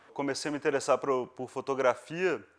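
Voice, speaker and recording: Fairly high for a man, this man's pitch varies in an ordinary way in a normal speaking voice. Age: 20s. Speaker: photographer. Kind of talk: documentary interview.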